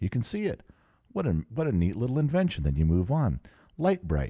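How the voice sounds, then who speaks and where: In a very clean recording with a silent background and a dry, close sound with no echo, a man with an American accent and a dark, mellow tone speaks at a fairly quick pace with very wide pitch swings. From US, Southern California (outside Los Angeles). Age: 50s. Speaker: podcast host. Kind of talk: solo casual monologue. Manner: halting, many fillers and restarts.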